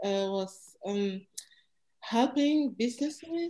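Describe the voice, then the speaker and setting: Against a quiet background, a woman with a French accent uses lively intonation, her fairly high voice carrying a dark, mellow tone. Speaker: engineer, startup co-founder. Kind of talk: panel discussion. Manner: halting, searching for words.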